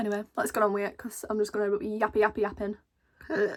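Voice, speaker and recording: The speaker is a woman. She talks in a northern English accent. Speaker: YouTuber, vlogger. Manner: chatty, rambling.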